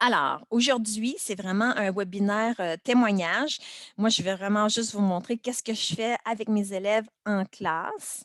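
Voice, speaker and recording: A woman speaks fairly slowly, her pitch fairly high with ordinary variation. The sound is dry and close, with no echo. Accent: Quebec. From Quebec. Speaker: primary school teacher. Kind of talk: webinar presentation. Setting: video call webinar. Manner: casual, many hesitations.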